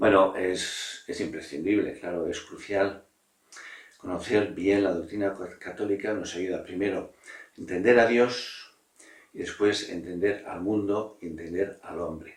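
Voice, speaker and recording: A man talks fairly slowly, his voice fairly low in pitch and his intonation fairly even. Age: 60s. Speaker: priest. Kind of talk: interview answers on religious vocation. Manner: halting, with frequent fillers.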